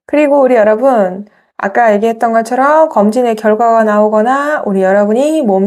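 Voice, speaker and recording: In a normal speaking voice, the speaker goes at a moderate pace with ordinary pitch variation. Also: woman. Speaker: tarot reader. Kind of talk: tarot reading monologue.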